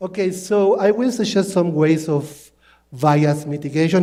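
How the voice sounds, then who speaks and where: A man's dark, mellow voice with a non-native accent, ordinary pitch variation, a fairly slow pace and audible room echo. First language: not English. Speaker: linguist. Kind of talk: conference talk. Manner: halting.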